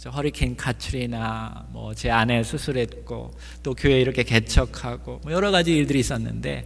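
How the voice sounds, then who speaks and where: Audible room echo surrounds the recording. In it, a man speaks at a moderate pace. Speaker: pastor. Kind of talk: sermon.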